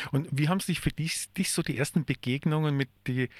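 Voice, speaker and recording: A man speaks at a moderate pace with a fairly high pitch and ordinary pitch variation. The recording is very clean, dry and close with no echo, over a silent background. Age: 50s. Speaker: radio host and social worker. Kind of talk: radio interview. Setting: radio studio. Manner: halting.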